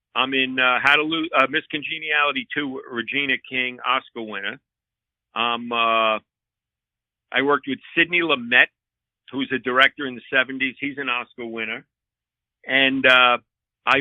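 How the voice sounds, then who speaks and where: Long, frequent pauses mark this man's speech in a New York accent. He keeps a moderate pace and a medium pitch. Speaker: comedian and former transit cop. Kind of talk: casual chat. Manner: animated.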